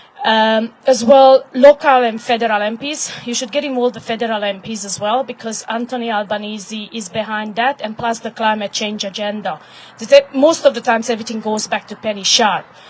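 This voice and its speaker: A woman with a Hungarian accent talks at a fairly quick pace with hardly any pauses, fairly even intonation, and big swings in loudness, over noticeable background noise. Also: fairly high pitch for a woman. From Hungary. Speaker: activist. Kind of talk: impromptu speech at live event. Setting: live event with audience.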